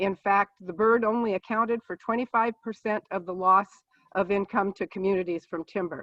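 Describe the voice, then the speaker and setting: A woman's plain, everyday voice, medium in pitch, with fairly even intonation and a moderate pace. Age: 60s. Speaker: political candidate, nurse. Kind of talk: candidate forum opening statement. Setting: video call.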